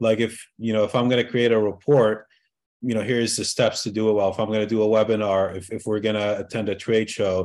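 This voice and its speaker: A man's plain, everyday voice at a medium pitch and fairly quick pace, over a quiet background. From Egypt, moved to US at 12. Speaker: marketing consultant. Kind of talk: interview.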